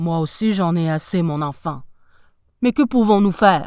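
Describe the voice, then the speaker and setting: A woman's put-on character voice, fairly low-pitched, with lively intonation at a moderate pace on a very clean recording with a silent background. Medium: read story.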